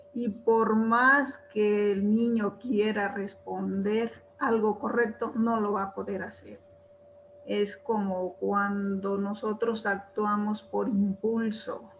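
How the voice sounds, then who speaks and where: Noticeable background noise sits behind a woman speaking at medium pitch. Her delivery is very slow, with monotone, flat intonation. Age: old. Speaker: retired teacher, webinar participant. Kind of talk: spoken comment in webinar Q&A.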